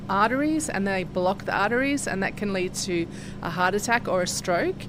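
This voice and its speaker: A woman's voice with ordinary pitch variation over background music. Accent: Australian. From Australia, Sydney. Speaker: research scientist. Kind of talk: interview. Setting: laboratory.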